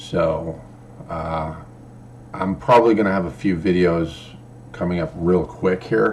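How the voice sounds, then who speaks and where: Against noticeable background noise, a man with a very deep, low pitch speaks with long, frequent pauses. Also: ordinary pitch variation. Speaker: crypto vlogger and rideshare driver. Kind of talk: casual vlog talk. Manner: halting, repeats words.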